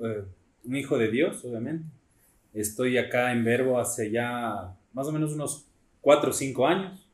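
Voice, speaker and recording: Audible room echo surrounds a man speaking at medium pitch with ordinary pitch variation. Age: 20s. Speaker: church youth leader. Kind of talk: testimony.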